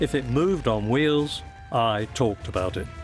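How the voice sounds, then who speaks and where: A man talks with lively intonation. Music can be heard behind him. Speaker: sports commentator. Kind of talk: documentary narration.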